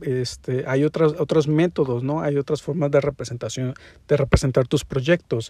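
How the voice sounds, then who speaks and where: A man's fairly high, somewhat breathy voice with a dark, mellow tone, in a Mexican accent, dry and close with no echo. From Mexico. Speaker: podcast host and interior design teacher. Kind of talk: solo podcast monologue. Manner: casual with many fillers.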